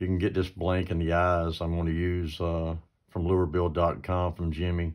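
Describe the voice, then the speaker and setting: Over a quiet background, a man with a very deep, low pitch speaks at a moderate pace in a monotone, flat delivery. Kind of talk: tutorial. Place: workshop. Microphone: phone near.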